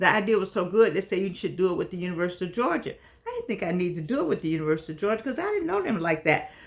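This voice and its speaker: Against noticeable background noise, a woman talks at a very fast pace in an animated tone, at medium pitch with ordinary pitch variation. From US Midwest (Gary, Indiana). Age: 80s+. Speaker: online talk show host. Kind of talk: casual monologue to viewers.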